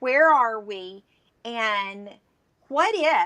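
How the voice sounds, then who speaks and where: With a Southern US accent, the speaker sounds animated, with lively intonation and a bright, sharp tone. The sound is dry and close, with no echo. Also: woman. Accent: Southern US drawl. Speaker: entrepreneur. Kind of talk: live interview.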